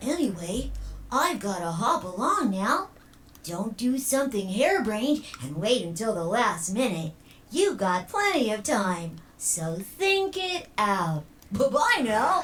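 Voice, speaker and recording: A female-sounding voice does a put-on character voice, fairly high with very wide pitch swings, at a fairly slow pace. Clear background noise sits behind it. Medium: video game. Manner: chirpy, sing-song, teasing.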